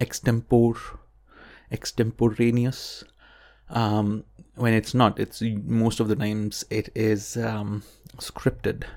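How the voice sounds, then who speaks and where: A man mumbles at a medium pitch in a monotone, flat intonation. His pace is very slow, with long, frequent pauses. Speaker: podcast host and science communication student. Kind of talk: solo podcast monologue, unscripted. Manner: filler-heavy, mumbling, many ums and ahs.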